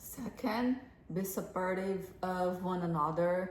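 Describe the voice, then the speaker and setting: A woman of medium pitch speaks with a non-native accent. Audible room echo and noticeable background noise surround her voice. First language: not English. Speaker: relationship advice co-host. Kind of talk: casual advice talk. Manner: halting.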